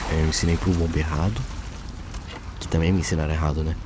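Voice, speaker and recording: Over noticeable background noise, a man whispers. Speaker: gaming youtuber commenting on theology. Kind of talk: casual gameplay commentary. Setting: at home at night. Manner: whispering; halting.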